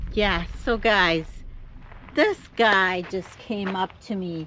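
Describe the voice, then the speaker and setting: A woman speaks at a very slow pace. Her pitch sits at a medium level. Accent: Jamaican. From Jamaica. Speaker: van-life vlogger. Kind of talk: casual vlog talk to camera. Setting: outdoors, parked car spot near Las Vegas. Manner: halting, repeats words.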